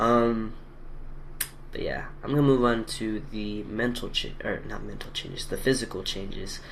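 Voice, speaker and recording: A man with a medium-pitched voice speaks in fairly even intonation. The room has audible echo and there is noticeable background noise. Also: moderate pace. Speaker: video blogger documenting gender transition. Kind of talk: casual vlog. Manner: hesitant, many fillers.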